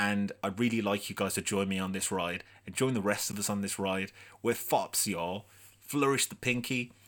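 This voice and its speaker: In a Brummie accent, a man talks at a fairly low pitch with monotone, flat intonation on a very clean recording with a silent background. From Birmingham, England. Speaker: wrestling podcast host. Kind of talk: casual solo commentary livestream. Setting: live video stream.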